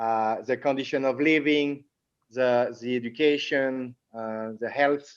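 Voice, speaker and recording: This speaker has a Latin American accent and a fairly slow pace. The background stays quiet. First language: French. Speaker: entrepreneur. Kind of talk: interview. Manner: halting, many repetitions.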